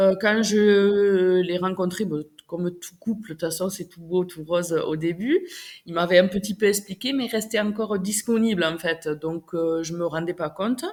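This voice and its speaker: The speaker is a woman with a medium-pitched voice. She keeps a moderate tempo. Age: 40s. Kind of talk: interview answer. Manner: enthusiastic.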